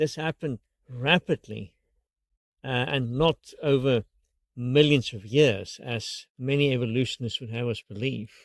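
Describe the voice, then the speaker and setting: A man with an Afrikaans South African accent speaks fairly slowly at a medium pitch with ordinary variation, big swings in loudness and long, frequent pauses. The very clean recording has a silent background and a dry, close sound with no echo. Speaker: travel vlogger. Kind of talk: travel vlog narration.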